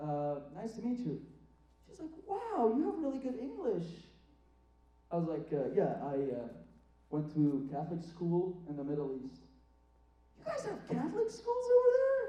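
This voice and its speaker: Audible room echo surrounds a man who speaks with long, frequent pauses. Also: moderate pace. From Iraq. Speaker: student stand-up comedian. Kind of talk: stand-up. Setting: theatre stage with audience.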